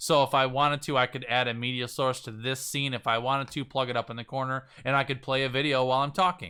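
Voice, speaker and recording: On a very clean recording with a silent background, a man of medium pitch talks very fast with hardly any pauses, his tone bright and sharp and his intonation fairly even. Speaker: live streaming coach. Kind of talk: live-streamed tutorial. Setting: live stream to multiple platforms.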